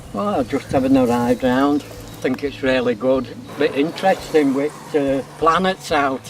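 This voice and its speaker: Over noticeable background noise, a man with a Yorkshire accent talks at a medium pitch and moderate pace with ordinary pitch variation. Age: 60s. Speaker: cyclist. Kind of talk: casual interview.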